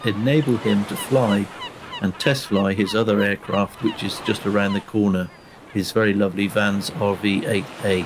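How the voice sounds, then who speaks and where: A man talks fairly low in pitch as noticeable background noise continues. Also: fairly even intonation, moderate pace. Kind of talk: casual video commentary.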